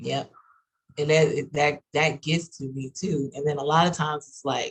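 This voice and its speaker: The speaker has an American accent and a somewhat breathy voice. The pace is moderate. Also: woman, very deep, low pitch for a woman. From Texas. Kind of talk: casual panel discussion.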